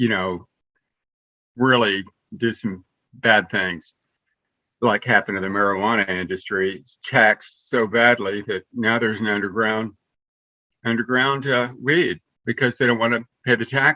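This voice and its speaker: A man talks at a moderate pace in a bright, sharp tone, leaving long, frequent pauses. The sound is dry and close with no echo against a quiet background. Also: medium pitch for a man, ordinary pitch variation. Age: 60s. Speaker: participant in an online sit-in, former rock musician. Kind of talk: casual group chat. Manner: halting, with many repetitions and fillers.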